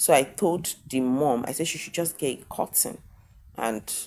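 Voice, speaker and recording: A woman speaks fairly slowly with lively intonation. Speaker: sex therapist. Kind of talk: talking-head vlog monologue. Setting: hotel room. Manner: loud.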